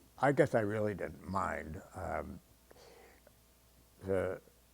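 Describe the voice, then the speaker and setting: A very deep, low male voice with an American accent at a very slow pace. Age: 80s+. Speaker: retired TV weatherman. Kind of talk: interview. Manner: halting, many fillers.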